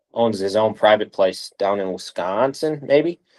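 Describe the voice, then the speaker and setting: A man's fairly low-pitched, fairly slow delivery in a normal speaking voice, with fairly even intonation and a dry, close sound with no echo. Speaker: strength and conditioning coach. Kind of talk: interview. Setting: video call.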